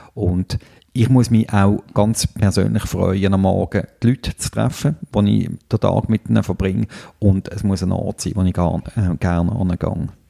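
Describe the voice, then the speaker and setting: Here a man speaks at a fairly slow pace, with a fairly low pitch and ordinary pitch variation. His tone is dark and mellow. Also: dry, close sound with no echo. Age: 40s. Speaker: podcast host, agency owner. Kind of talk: casual chat. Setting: agency library.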